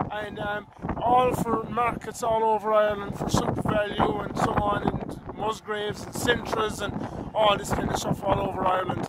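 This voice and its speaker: A man talks at a moderate pace, his voice dry with no echo, while loud background noise fills the clip. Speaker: farm vlogger. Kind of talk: casual vlog chat. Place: farm machine. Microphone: phone near.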